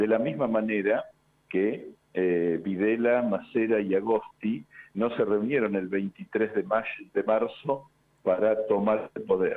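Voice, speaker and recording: Here a man's fairly low voice moves at a very slow pace. His pitch varies in an ordinary way. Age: 60s. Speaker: historian. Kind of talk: radio interview. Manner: hesitant, many fillers.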